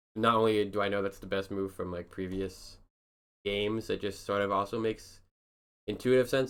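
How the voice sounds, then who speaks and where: Flat, monotone intonation comes through a very clean recording with a silent background. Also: man. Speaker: amateur chess player reviewing own games. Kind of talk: casual game analysis commentary. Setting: at home at night, partner asleep. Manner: quiet, hushed; hesitant, many fillers.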